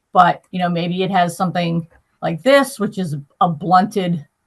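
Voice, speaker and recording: Somewhat breathy, a woman speaks at a moderate pace with a fairly low pitch. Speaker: veterinary lecturer. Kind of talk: lecture. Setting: live online class with chat.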